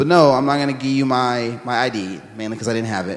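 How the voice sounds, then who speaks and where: Noticeable background noise sits behind this recording. A man with an American accent speaks at a medium pitch. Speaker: church member sharing experience. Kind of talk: personal testimony interview.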